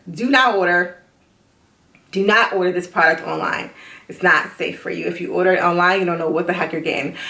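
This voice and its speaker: The voice moves at a fairly quick pace with ordinary pitch variation, and audible room echo surrounds it. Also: woman, fairly low pitch for a woman. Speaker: vlogger. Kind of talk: video diary. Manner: fast.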